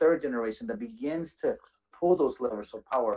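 With an American accent, a man speaks at a moderate pace in a fairly high pitch and a dark, mellow tone, his pitch swinging very widely over a quiet background. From Washington D.C., Salvadoran family. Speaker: nonprofit executive director; panelist. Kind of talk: panel discussion. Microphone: video call.

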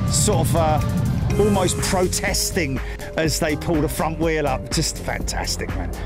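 A man at a fairly slow pace, dry sound with no echo, and clear music in the background. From England. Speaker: aviation livestream commentator. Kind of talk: live commentary.

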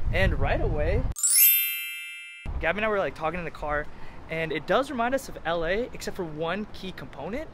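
Music in the background under a dry sound with no echo. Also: man. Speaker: vlogger. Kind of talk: casual vlog chat. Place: street. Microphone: phone near.

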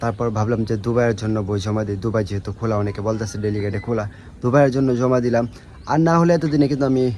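With ordinary pitch variation, a man talks at medium pitch in a normal speaking voice. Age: 20s. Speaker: vlogger, former migrant worker. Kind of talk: vlog monologue.

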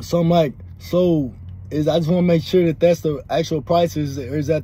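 At a moderate pace, a man speaks with a dry sound that has no echo. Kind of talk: casual vlog chat. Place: car.

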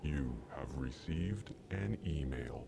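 Using a put-on character voice, a man speaks at a fairly slow pace over loud background noise. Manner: scary, ominous.

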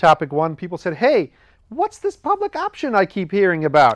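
A man with a high voice speaks at a moderate pace. The background is quiet and the sound dry, with no echo. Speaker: show host. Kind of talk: comedic explainer monologue. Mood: jokey, wry. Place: studio.

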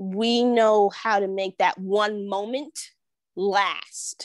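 A woman with a New York accent speaks in an animated tone with ordinary pitch variation, her voice dry with no echo against a quiet background. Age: 30s. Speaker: real estate agent and entrepreneur; podcast guest. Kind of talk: casual interview. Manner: animated, laughs often. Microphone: earbuds.

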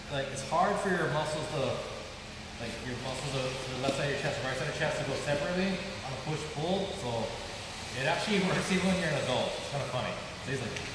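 Very fast speech from a man with ordinary pitch variation. Strong room echo and noticeable background noise fill the recording. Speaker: martial arts instructor. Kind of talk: tutorial. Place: gym. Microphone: camera far.

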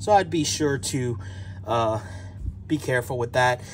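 A man keeps a moderate pace even with loud background noise around him. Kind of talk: tutorial. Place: garage. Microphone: phone near.

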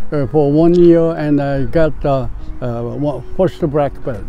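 A man talks at a very slow pace with ordinary pitch variation, his voice dry with no echo and music playing in the background. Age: 80s+. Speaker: disc golfer. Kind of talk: interview answer. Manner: hesitant, halting. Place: open country.

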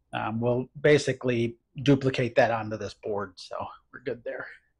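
A man talks at a moderate pace with fairly even intonation and a somewhat breathy sound. Light background noise is present. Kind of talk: tutorial. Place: garage. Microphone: lapel.

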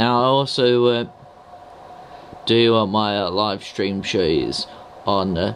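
A man's fairly low, fairly bright voice at a slow pace, fairly even in intonation, with faint background noise.

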